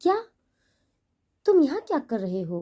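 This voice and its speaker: A woman does a put-on character voice, high-pitched and shaky, with very wide swings in pitch. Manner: nervous, stammering.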